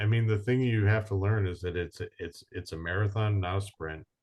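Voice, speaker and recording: With hardly any pauses, a man talks in a fairly low, somewhat breathy voice with ordinary pitch variation. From New England. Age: 50s. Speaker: business owner. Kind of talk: podcast interview.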